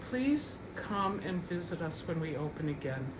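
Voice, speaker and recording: Audible room echo and noticeable background noise surround the recording. A woman speaks at a fairly slow pace with a fairly low pitch. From US Midwest, Minnesota. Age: 70s. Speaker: painter. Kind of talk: studio tour talk. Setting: artist's studio. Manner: halting, many fillers.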